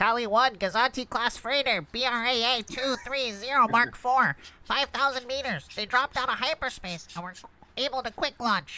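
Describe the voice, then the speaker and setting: Moderately paced, fairly high-pitched speech in a put-on character voice. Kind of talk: table read of a script.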